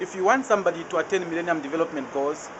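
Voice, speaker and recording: Over noticeable background noise, a man with a high pitch talks at a very fast pace with ordinary pitch variation. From Zambia. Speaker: anti-poverty debt campaigner. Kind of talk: interview answer. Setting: outdoors.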